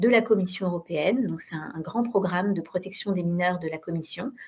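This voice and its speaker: At a very fast pace, a woman speaks somewhat breathily at medium pitch with ordinary pitch variation. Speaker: digital education program director. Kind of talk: webinar presentation. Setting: video conference. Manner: hesitant, many fillers.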